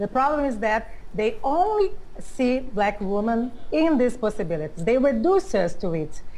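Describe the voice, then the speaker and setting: At a moderate pace, a woman with a fairly high pitch makes very wide pitch swings. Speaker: activist. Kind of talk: panel discussion.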